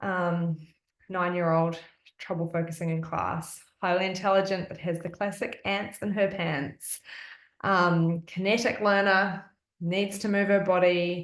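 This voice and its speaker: The speaker has an Australian accent and delivers every line in a flat monotone. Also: woman, medium pitch for a woman, fairly slow pace. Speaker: essential oils wellness presenter. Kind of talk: live-streamed presentation. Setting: live stream at home, evening.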